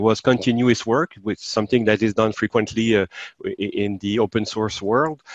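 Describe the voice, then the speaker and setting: A man speaks with a Quebec accent and fairly even intonation. The background is quiet and the sound is dry, with no echo. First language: French. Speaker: software developer; interviewee. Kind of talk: software demo. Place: home room. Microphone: video call.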